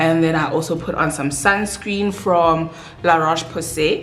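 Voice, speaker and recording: A woman with a non-native accent speaks at a fairly low pitch. Audible room echo and noticeable background noise fill the recording. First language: not English. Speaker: beauty vlogger. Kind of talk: casual chat while doing makeup. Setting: at home with bright lights, doors open.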